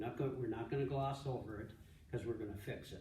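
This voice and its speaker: Somewhat breathy, a man speaks with audible room echo. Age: 70s. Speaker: pastor and ministry director. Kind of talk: conference talk. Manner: halting, many repeated words and false starts.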